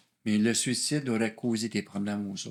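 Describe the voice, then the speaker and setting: Medium pitch from a man, on a very clean recording against a silent background. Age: 60s. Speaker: former police officer sharing testimony. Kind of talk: testimony. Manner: halting.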